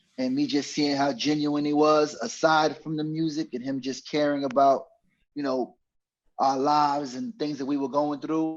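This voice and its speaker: A man with a New York accent and a fairly high pitch, at a moderate pace with fairly even intonation. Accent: New York (Bronx). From New York, the Bronx. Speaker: podcast co-host, former road manager. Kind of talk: casual chat.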